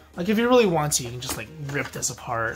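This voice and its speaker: With clear music in the background, a man speaks with ordinary pitch variation. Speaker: card unboxing creator. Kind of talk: casual unboxing commentary. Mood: relaxed, amused. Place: home room.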